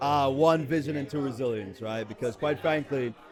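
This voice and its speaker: With an American accent, a man talks at a fairly quick pace in a fairly high pitch with ordinary pitch variation. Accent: sounds American, Jamaican accent suppressed. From Jamaica. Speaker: recruiter. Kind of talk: casual chat. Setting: live event at a gala.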